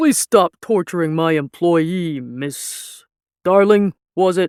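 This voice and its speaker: A man uses a put-on character voice, pitched high, at a fairly slow pace. The recording is very clean, with a silent background. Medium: read story. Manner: oily, controlled, condescending.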